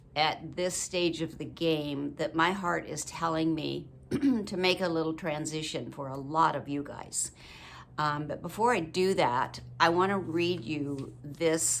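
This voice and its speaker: A woman speaks with a very deep, low pitch and vocal fry. Her pitch variation is ordinary. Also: fairly slow pace. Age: 80s+. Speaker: widow vlogger. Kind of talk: casual talk to camera.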